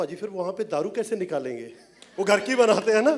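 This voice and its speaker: Noticeable background noise accompanies a man speaking at a moderate pace. His pitch is high and his intonation lively. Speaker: film director and writer. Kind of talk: speech at a film launch event.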